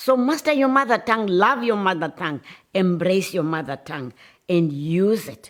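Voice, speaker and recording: A woman's fairly low voice in a South African accent, with very wide pitch swings, in a very clean recording with a silent background. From South Africa, Xhosa-speaking. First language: isiXhosa. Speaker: writer. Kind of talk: speech. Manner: impassioned.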